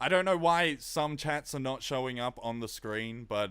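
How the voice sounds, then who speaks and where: A man with an Australian accent speaks at a fairly slow pace, with ordinary pitch variation. The recording is very clean, with a silent background. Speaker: music producer streamer. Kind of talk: live stream tutorial. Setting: live stream. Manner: casual.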